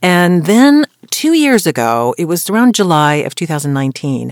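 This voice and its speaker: At a moderate pace, a woman with an American accent swings very widely in pitch, in a very clean, dry, close recording with no echo and a silent background. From US, Colorado. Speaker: voice actor and voiceover coach. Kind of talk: podcast interview.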